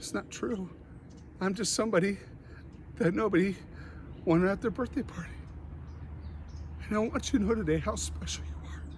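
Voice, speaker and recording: Amid audible room echo, a man talks at a fairly quick pace broken by long, frequent pauses. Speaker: motivational speaker. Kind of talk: motivational talk. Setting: online conference. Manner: animated.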